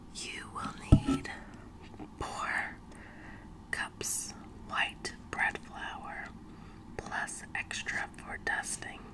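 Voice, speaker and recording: Very slow whispering amid noticeable background noise. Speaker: ASMR performer. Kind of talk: ASMR recipe reading. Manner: whispered; slow, soft-spoken.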